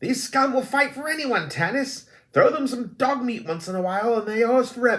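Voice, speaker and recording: In a put-on character voice, a man speaks shrilly at an extremely high pitch, fairly quickly, with ordinary pitch variation. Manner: calling out to provoke the goblin.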